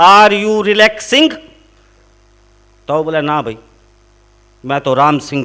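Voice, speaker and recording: Speaking at a moderate pace in a raised, projected voice, a man with a Haryana accent uses lively intonation. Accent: Haryanvi. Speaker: comic poet. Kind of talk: comic poetry and jokes on stage before a live audience.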